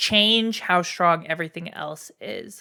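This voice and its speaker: In a Canadian accent, a woman with a bright, sharp tone speaks at a very slow pace with ordinary pitch variation, on a very clean recording with a silent background. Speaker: streamer and fighting game player. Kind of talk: live-stream commentary on a tier list. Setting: live stream. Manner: animated, emphatic.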